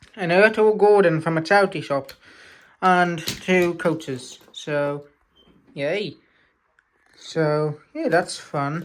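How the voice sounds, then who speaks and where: Very slow speech from a woman in a British accent, fairly low in pitch with ordinary variation and long, frequent pauses. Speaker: model railway hobbyist vlogger. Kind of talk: casual update vlog. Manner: loud, energetic; hesitant with many fillers.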